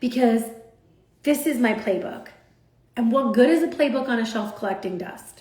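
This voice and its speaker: A loud, animated woman's voice, high-pitched with lively intonation, in audible room echo with noticeable background noise. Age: 40s. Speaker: social media influencer. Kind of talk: motivational talk on a livestream.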